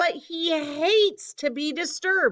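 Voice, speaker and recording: A woman uses a put-on character voice at an extremely high pitch. She speaks at a fairly slow pace. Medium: read story.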